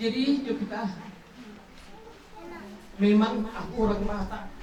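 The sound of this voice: A woman speaks at a fairly slow pace with audible room echo.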